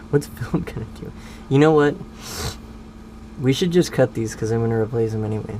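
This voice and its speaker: The speech moves at a fairly quick pace. Long pauses break it up frequently. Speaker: car mechanic hobbyist, video host. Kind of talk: casual chat while working on a car.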